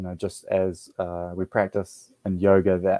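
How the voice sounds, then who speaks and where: Soft-spoken and in a New Zealand accent, a man talks at a fairly slow pace with monotone, flat intonation, the sound dry and close with no echo while music plays in the background. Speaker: yoga teacher and military veteran. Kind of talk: interview. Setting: podcast.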